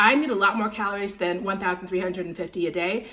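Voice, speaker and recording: The tone is animated, with noticeable noise in the background. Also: woman. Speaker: lifestyle vlogger. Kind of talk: casual talk to camera, food vlog. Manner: animated, chatty; slightly slurred speech.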